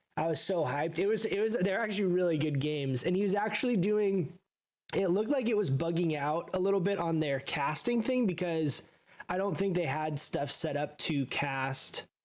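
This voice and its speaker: At a moderate pace, a man talks with a high pitch. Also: ordinary pitch variation. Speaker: video game streamer. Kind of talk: casual live stream chat. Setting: live stream. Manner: casual, rambling with fillers.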